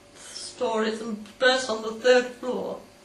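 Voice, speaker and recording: Noticeable background noise sits behind a woman speaking at a high pitch. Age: 80s+. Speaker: war veteran. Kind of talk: personal storytelling, interview answer.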